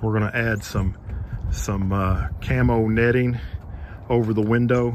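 Against noticeable background noise, a man with a fairly low pitch speaks with fairly even intonation in a dry sound with no echo. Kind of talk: casual vlog chat. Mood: relaxed, cheerful. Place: garden. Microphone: phone near.

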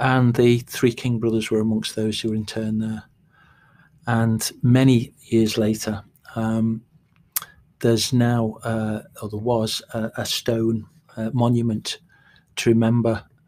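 A man with a Scouse accent speaks at a medium pitch in a dark, mellow tone, with monotone, flat intonation, a fairly slow pace and long, frequent pauses. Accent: mild Liverpool (Scouse). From Liverpool outskirts, Liverpool Irish background. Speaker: playwright. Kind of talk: casual interview chat.

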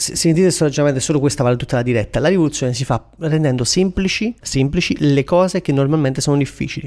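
A man talks very fast at a fairly high pitch, with ordinary pitch variation. Noticeable background noise runs throughout. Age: 20s. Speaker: career coach and entrepreneur. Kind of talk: casual Instagram live Q&A. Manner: animated.

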